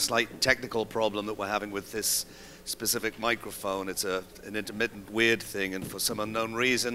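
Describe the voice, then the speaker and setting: British-accented speech from a man. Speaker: conference speaker, company executive. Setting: stage. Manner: relaxed, joking, some hesitation fillers.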